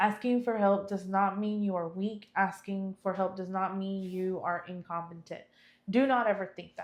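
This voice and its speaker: Fairly even intonation in a woman's voice at medium pitch. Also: moderate pace. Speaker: podcast co-host. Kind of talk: casual chat. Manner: nervous, voice trembles when public speaking.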